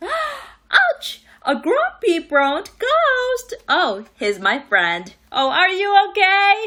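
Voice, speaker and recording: In a put-on character voice, a woman speaks at an extremely high pitch and a very slow pace, with hardly any pauses. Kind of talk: children's read-aloud. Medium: read story. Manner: theatrical, gasping reveals.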